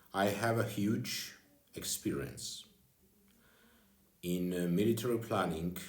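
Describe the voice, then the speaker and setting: There's audible room echo as a man speaks at a fairly slow pace. His pitch is very deep and low, with ordinary variation. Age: 40s. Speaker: former government official. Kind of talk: personal video address. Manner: halting non-native speech with fillers.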